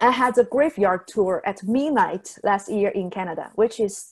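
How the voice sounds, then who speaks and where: A woman with a Chinese accent speaks at a moderate pace against a quiet background. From southern China. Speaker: travel blogger; guest. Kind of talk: webinar presentation. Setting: video call. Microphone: webcam.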